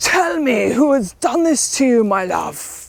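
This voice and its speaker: A woman puts on a character voice, high in pitch and delivered at a fairly slow pace. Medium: read story.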